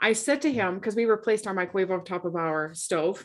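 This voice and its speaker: An unremarkable speaking voice from a woman, medium in pitch, at a moderate pace. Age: 40s. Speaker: fitness and nutrition coach, podcast co-host. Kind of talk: casual chat. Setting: remote call.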